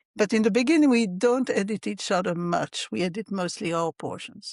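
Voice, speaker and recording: In a French accent, a woman speaks. The background is quiet. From Belgium, French-speaking. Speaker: crime novelist. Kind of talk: interview.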